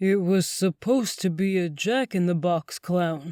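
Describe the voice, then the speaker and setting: A put-on character voice speaks at a middle pitch and a moderate pace. The recording is very clean with a silent background. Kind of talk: spooky theatrical showman voice. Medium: read story.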